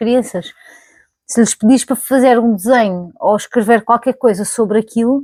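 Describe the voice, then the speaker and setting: A woman's fairly high voice at a moderate pace with ordinary pitch variation, dry and close with no echo, on a very clean recording with a silent background. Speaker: YouTuber. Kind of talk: casual vlog monologue. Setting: recording to camera. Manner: conversational, with fillers and self-corrections.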